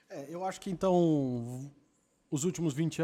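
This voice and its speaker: A man's dark, mellow tone with ordinary pitch variation, on a very clean recording against a silent background. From Campinas, São Paulo state, Brazil. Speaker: podcast panelist. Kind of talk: casual chat.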